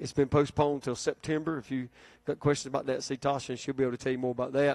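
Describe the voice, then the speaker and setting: A man delivers his words at a very fast pace, and the background is quiet. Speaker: pastor giving announcements. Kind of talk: sermon. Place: church. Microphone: handheld.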